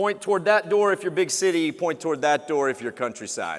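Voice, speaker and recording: A man with a Texan accent talks loudly at a high pitch, with lively intonation and a moderate pace. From Texas. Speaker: TV travel show host. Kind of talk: keynote speech. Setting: conference stage with audience. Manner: animated.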